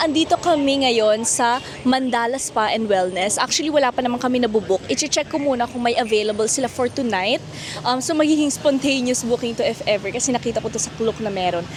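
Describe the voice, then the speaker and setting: Very fast speech with lively intonation over noticeable background noise. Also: woman. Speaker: travel vlogger. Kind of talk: travel vlog. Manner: casual and chatty.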